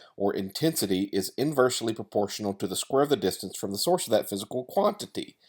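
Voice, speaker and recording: The speaker has a Tennessee accent. The recording is very clean, with a silent background. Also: man. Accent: Southern US (Tennessee). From US South, Tennessee. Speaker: wedding photographer. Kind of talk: tutorial. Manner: casual, many fillers.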